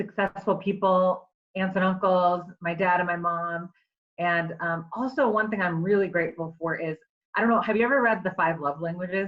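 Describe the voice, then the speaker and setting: In a Michigan accent, a woman speaks at a medium pitch. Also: fairly even intonation, moderate pace. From US Midwest, Michigan (Clarkston). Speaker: attorney and entrepreneur. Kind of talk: casual interview.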